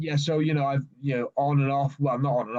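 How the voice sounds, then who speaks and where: A man with a South Welsh accent, fairly high in pitch, at a moderate pace. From South Wales (Swansea, Gower). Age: 30s. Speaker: natural bodybuilder. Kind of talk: podcast interview. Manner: halting, many fillers and repeats.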